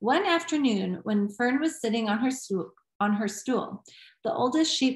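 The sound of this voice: An unforced reading voice with lively intonation is heard over a quiet background.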